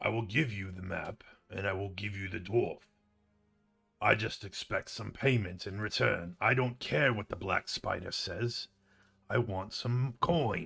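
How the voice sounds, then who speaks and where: Putting on a gruff character voice at a fairly low pitch, a man speaks at a moderate pace. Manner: shouting.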